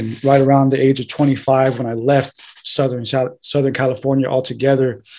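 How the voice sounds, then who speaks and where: A man's dark, mellow tone, monotone and flat, at a moderate pace with hardly any pauses. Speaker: podcast guest. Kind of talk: interview answer. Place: home room.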